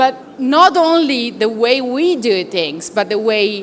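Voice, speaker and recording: Noticeable background noise sits behind a woman with an Italian accent, whose high-pitched voice has lively intonation. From Italy. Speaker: consultant at a professional services firm. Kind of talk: conference presentation. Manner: halting, many fillers.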